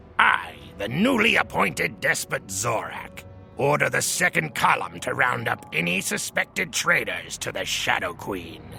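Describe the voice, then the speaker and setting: A man performs a cartoonish character voice with clear music playing behind him. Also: moderate pace. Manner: pompous, self-aggrandizing.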